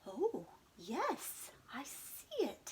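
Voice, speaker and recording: Using a put-on character voice, a woman pitches high. Her pitch makes very wide swings. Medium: read story. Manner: bleating.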